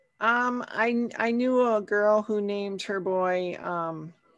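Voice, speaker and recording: Very slowly and with fairly even intonation, a woman with an Upper Midwest US accent speaks at medium pitch over a quiet background. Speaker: author and podcaster. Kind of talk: casual chat, interview.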